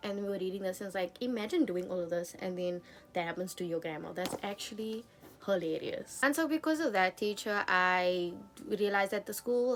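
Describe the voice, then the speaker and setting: There is music in the background. A woman at medium pitch speaks with ordinary pitch variation. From South Africa. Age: 20s. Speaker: book YouTuber. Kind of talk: casual talk to camera.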